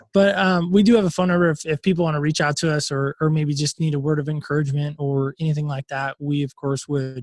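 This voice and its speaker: The speech comes at a very fast pace in a somewhat breathy voice. The sound is dry and close, with no echo. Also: man. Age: 40s. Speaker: podcast host and former pastor. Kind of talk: interview. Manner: animated.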